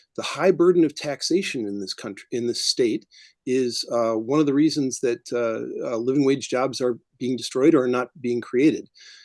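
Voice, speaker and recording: A man with a normal speaking voice and an American accent talks at a moderate pace and medium pitch with ordinary variation, the sound dry and close with no echo against a quiet background. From US Midwest. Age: 60s. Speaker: political candidate. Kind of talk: candidate forum answer.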